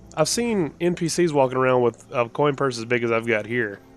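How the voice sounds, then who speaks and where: With music playing behind him, a man talks with lively intonation. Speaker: gaming streamer. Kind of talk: live gameplay commentary. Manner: halting.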